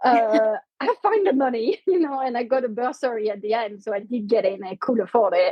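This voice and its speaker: A woman's high pitch with a French accent, lively intonation and a fairly quick pace. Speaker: company co-founder. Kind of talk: interview.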